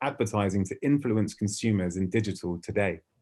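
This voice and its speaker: On a very clean recording with a silent background, the speaker uses a British accent at a moderate pace. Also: man. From UK. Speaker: ad tech industry speaker. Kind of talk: keynote presentation.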